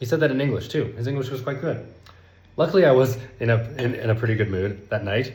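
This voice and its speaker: Somewhat breathy and medium-pitched, a man speaks very fast with ordinary pitch variation, and room echo is audible. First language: not Spanish; Spanish is his third language. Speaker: language learning content creator. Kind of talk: casual vlog monologue.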